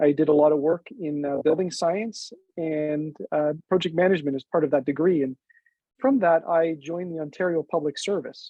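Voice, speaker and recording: In a Canadian accent, a plain, everyday voice speaks at a moderate pace with ordinary pitch variation. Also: man, fairly high pitch for a man. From Toronto, Canada. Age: 40s. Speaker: city councillor. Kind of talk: prepared campaign speech. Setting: town hall.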